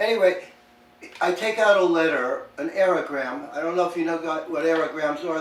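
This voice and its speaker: There is audible room echo and noticeable background noise as a man with a fairly high voice speaks at a moderate pace with ordinary pitch variation. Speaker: poet. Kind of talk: casual chat. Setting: podcast interview.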